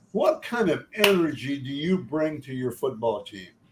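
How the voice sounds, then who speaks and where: Somewhat breathy speech with lively intonation at a moderate pace. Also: man. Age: 70s. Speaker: football evaluator, podcast host. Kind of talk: interview. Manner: halting, false starts.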